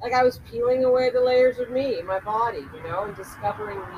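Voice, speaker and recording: Over noticeable background noise, a woman with an American accent speaks in a fairly high pitch with lively intonation. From Culver City, California. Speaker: movement and dance practitioner. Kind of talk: casual interview. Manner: animated.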